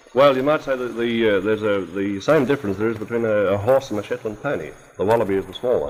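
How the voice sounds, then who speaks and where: Very fast, a man speaks with an Australian accent. His medium-pitched voice has ordinary pitch variation. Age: 40s. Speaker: wildlife sanctuary director. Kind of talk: radio interview answer. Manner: hesitant.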